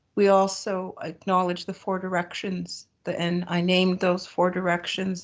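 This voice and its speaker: Against a quiet background, a woman at medium pitch with a Great Lakes accent talks in a flat monotone with hardly any pauses. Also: moderate pace. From Ontario, Canada (Bruce Peninsula). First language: Ojibwe. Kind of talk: ceremonial opening acknowledgement. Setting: video call.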